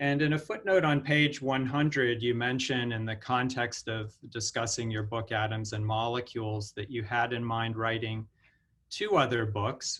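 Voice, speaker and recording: A man's normal speaking voice at medium pitch, fairly even in intonation and moderate in pace, on a very clean recording with a silent background. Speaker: professor, event moderator. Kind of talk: moderator question in Q&A.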